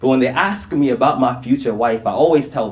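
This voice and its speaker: A normal speaking voice. A man talks at a fairly quick pace. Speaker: spoken word poet. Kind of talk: live spoken word poetry performance.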